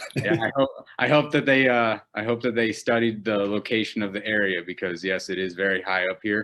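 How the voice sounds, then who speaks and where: At a fairly quick pace, a man speaks with a fairly low pitch and a bright, sharp tone. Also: ordinary pitch variation. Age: 20s. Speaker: amateur MMA fighter. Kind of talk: interview. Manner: hesitant, many fillers.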